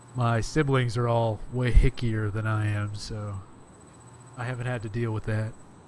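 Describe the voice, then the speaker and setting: A man with an American accent speaks in a monotone, flat way, with audible room echo around him. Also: medium pitch for a man. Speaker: podcast guest, game developer. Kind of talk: casual chat.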